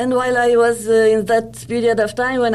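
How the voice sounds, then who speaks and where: A woman is speaking. Her pace is moderate. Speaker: career coach and author. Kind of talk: interview.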